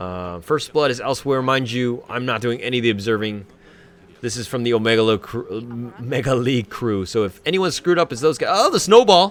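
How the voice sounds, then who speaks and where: At a fairly quick pace, a man with an American accent speaks in a plain, everyday voice at a medium pitch. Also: lively intonation. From USA. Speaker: game replay commentator / streamer. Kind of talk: live game commentary with chat interaction. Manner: casual, filler-heavy (um, like).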